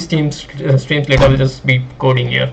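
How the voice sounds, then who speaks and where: The speaker keeps a moderate pace. Noticeable background noise is present. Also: man. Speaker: graphics programming student streamer. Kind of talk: live stream maths tutorial. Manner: casual, many fillers.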